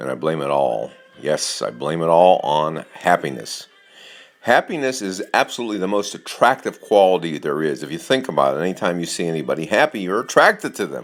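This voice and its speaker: A man's very deep, low voice, fairly quick and lively in intonation, against noticeable background noise. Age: 70s. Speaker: life coach. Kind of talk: motivational talk to camera.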